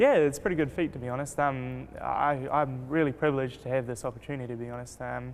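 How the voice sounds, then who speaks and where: Over music in the background, a man talks very fast with hardly any pauses, medium pitch and fairly even intonation. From New Zealand, Rotorua. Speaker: race car driver. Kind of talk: interview. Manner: hesitant, many fillers.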